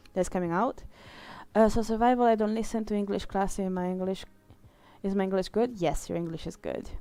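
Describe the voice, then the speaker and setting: A woman speaks at a medium pitch with an Italian accent, her tone dark and mellow. Her pace is fairly quick, with long, frequent pauses and fairly even intonation. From Italy. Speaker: streamer and illustrator. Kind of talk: casual live-stream chat. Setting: live stream while drawing.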